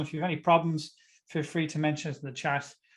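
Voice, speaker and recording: A man speaks with an Irish accent. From Ireland. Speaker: tax advisor speaker. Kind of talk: webinar talk. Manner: fast.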